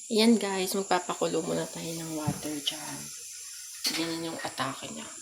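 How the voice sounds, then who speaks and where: A soft-spoken woman talks in a fairly low pitch over noticeable background noise. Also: ordinary pitch variation, moderate pace, big swings in loudness. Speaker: vlogger. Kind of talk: casual vlog chat. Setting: home kitchen at night.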